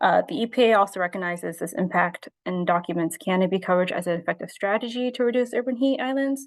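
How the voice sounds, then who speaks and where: Speech comes at a very fast pace with hardly any pauses against a quiet background. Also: woman, medium pitch for a woman. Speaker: graduate student presenting capstone project. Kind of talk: academic presentation. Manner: hesitant, many fillers.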